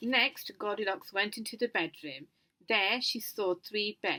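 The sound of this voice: Quiet surrounds the speech. It comes in an unforced reading voice.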